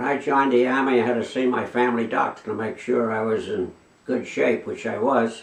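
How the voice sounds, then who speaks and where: A man at a medium pitch and fairly quick pace, fairly even in intonation, amid noticeable background noise. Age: 80s+. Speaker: war veteran. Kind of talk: interview answer.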